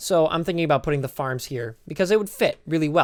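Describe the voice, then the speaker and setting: On a very clean recording with a silent background, someone talks at a fairly quick pace. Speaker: gaming YouTuber. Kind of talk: let's play commentary. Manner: fast.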